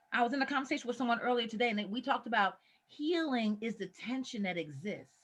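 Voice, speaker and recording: A woman speaks at a fairly quick pace with lively intonation. Her fairly high voice is somewhat breathy. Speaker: mental health professional and presenter. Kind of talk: training presentation.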